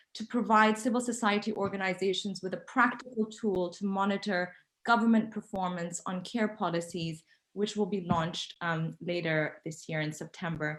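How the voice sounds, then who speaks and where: A woman's medium-pitched voice at a moderate pace, with ordinary pitch variation and an unremarkable speaking voice. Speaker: panel speaker. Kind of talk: conference presentation.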